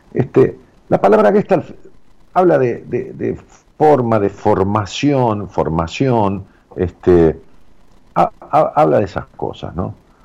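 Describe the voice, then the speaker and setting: Speaking in a Rioplatense accent at a very slow pace with long, frequent pauses, a man uses a fairly low pitch, a dark, mellow tone, vocal fry and very wide pitch swings. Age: 60s. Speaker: radio host. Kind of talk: casual radio talk with listener call-ins. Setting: radio studio. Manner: hesitant, fillers and repetitions.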